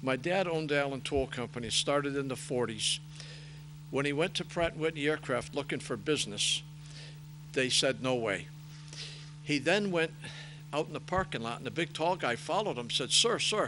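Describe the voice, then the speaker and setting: A man talks at a moderate pace with a fairly high pitch, vocal fry and a bright, sharp tone, using ordinary pitch variation. He leaves long, frequent pauses against a quiet background. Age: 70s. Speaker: racing parts business owner and race director. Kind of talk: interview.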